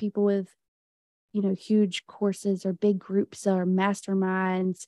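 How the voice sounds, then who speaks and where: Close and dry with no echo, a woman with an American accent speaks fairly slowly at a medium pitch in a dark, mellow tone. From US South. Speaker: business client and aspiring podcaster. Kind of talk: casual interview chat.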